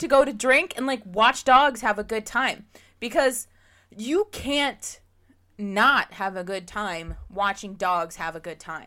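A woman with an American accent and a fairly high, bright, sharp voice speaks very slowly, with lively intonation and big swings in loudness, in a very clean recording with a silent background. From Pennsylvania. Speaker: podcast host. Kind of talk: casual chat.

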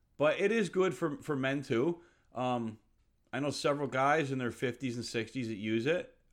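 A man's plain, everyday voice at medium pitch and moderate pace, with ordinary pitch variation, in a very clean recording with a silent background. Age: 30s. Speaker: bodybuilding coach. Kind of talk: casual monologue podcast. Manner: casual.

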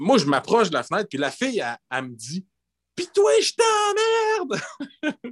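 A man talks at a moderate pace with very wide pitch swings. The sound is dry and close, with no echo. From northern Quebec (Gagnon, Fermont). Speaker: bassist and singer. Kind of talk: casual chat.

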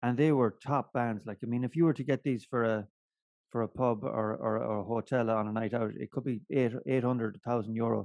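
With an Irish accent, a man speaks at medium pitch and a fairly quick pace, his intonation fairly even and the sound dry and close with no echo. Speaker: podcast co-host. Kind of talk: casual chat. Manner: loud.

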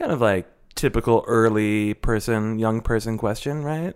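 A man with a normal speaking voice talks at a medium pitch with lively intonation. The recording is very clean, with a silent background. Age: 30s. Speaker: advice podcast co-host. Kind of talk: casual chat; show promo and sign-off.

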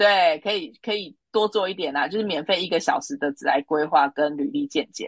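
Talking at a fairly quick pace with hardly any pauses, a woman swings very widely in pitch. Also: medium pitch for a woman, dry, close sound with no echo. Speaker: recruitment consultant. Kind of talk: interview.

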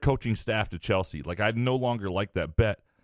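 In an ordinary speaking voice, a man talks at a moderate pace with ordinary pitch variation, recorded very cleanly against a silent background in a dry, close sound with no echo. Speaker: sports radio host. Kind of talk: casual chat.

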